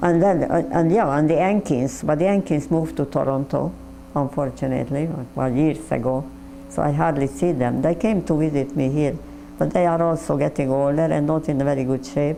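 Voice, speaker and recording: A woman's very deep, low pitch with ordinary variation, fairly quick pace and very even loudness, against noticeable background noise. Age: 80s+. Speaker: Holocaust survivor. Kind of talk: interview. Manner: halting.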